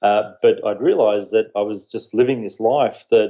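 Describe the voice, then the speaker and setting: Medium-pitched man at a fairly quick pace with ordinary pitch variation. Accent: Australian. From Australia. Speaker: social media marketing entrepreneur. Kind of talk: podcast interview.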